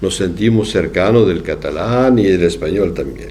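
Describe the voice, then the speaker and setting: With noticeable background noise and audible room echo, a man talks in a fairly low pitch with ordinary pitch variation. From southwest France. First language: French (speaking Spanish). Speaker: psychoanalyst lecturer. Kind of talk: lecture. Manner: halting.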